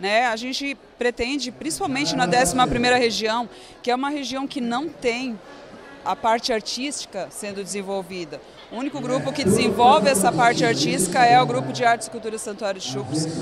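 Clear music plays in the background as a woman speaks at a moderate pace, the sound dry with no echo. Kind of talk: interview answer. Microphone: handheld.

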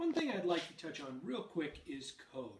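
A man's voice with very wide pitch swings in audible room echo. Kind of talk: tutorial. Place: home room.

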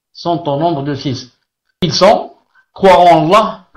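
A man's high-pitched voice at a fairly slow pace, with ordinary pitch variation and a quiet background. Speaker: religious teacher. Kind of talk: sermon opening then lecture. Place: home room.

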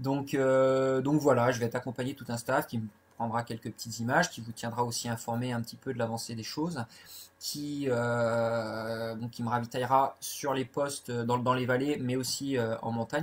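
A man speaks at a medium pitch and moderate pace with monotone, flat intonation. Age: 40s. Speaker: ultra-trail runner. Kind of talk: live Q&A. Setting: Facebook live video. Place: home room. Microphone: webcam.

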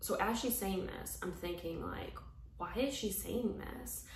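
A woman speaks at a fairly slow pace over light background noise, with audible room echo. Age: 30s. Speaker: YouTuber and former reality TV cast member. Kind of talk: personal confessional vlog. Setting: solo video recording. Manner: hesitant, many filler words. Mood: earnest, serious, a bit emotional. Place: home room. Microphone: phone near.

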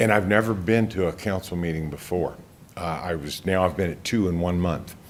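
This man's voice sits very deep and low, with ordinary pitch variation, at a fairly quick pace. Room echo is audible. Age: 60s. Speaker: investigative reporter giving public comment. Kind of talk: public comment at council meeting. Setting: county council meeting.

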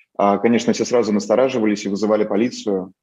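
Against a quiet background, a man with a Moscow accent and a medium pitch talks at a fairly quick pace. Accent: Moscow Russian. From Russia, Moscow. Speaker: photojournalist. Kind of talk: interview. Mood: calm, reflective, a bit rueful. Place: home room. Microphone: video call.

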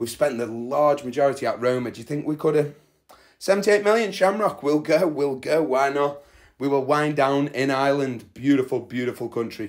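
The speaker talks at a moderate pace with ordinary pitch variation against a quiet background. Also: man. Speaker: gaming content creator. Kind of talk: casual commentary on a game. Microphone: phone near.

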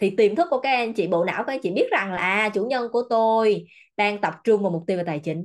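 A woman speaks in an animated tone with fairly high pitch and lively intonation. Her pace is fairly quick, and the background is quiet. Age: 30s. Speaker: self-development coach. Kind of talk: motivational seminar talk. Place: office. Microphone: webcam.

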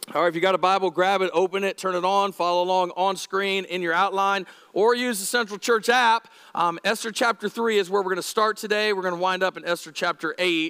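A man speaks in a raised, projected voice at a fairly quick pace with fairly even intonation, the background quiet. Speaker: lead pastor. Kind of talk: sermon. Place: church. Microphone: headset.

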